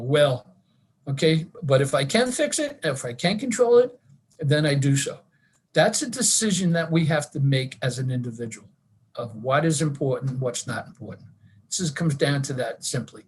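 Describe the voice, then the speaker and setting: A somewhat breathy man speaks with fairly high pitch. His intonation is lively. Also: moderate pace. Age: 70s. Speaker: wellness presenter, retired teacher and school administrator. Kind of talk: online wellness talk.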